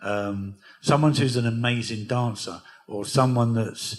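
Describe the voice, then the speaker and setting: Fairly even in intonation and medium in pitch, a man talks in an unremarkable speaking voice. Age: 60s. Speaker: record label founder and DJ. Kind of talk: onstage interview at a music workshop.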